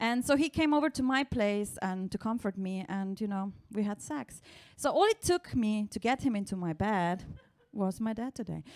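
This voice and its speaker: A woman with a Slovenian accent makes very wide swings in pitch. The recording is very clean, with a silent background. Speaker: stand-up comedian. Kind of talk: stand-up. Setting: stage with audience.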